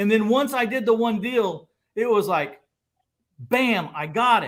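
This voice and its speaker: A man with an American accent speaks at a high pitch and a fairly slow pace. The recording is very clean, with a silent background. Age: 60s. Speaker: real estate investor. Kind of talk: casual chat. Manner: animated.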